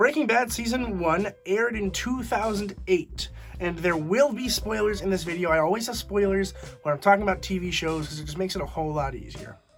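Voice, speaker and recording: Against noticeable background noise, a high-pitched man talks at a fairly quick pace with ordinary pitch variation. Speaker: TV show reviewer. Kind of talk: casual review monologue. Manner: quiet.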